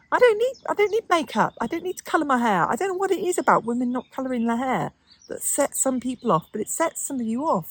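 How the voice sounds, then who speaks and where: A woman with an English accent speaks at a fairly quick pace in a high voice that swings very widely in pitch, recorded with a dry, close sound and no echo. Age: 60s. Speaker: lifestyle vlogger. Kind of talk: casual monologue to camera. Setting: outdoors in the garden.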